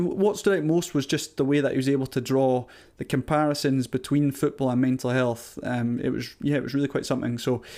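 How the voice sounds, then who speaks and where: A man's medium-pitched voice with a dark, mellow tone, fairly quick and with hardly any pauses, ordinary pitch variation, on a very clean recording with a silent background. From Scotland, Caithness (Castletown). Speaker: podcast host. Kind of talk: podcast intro monologue. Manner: casual, some hesitations.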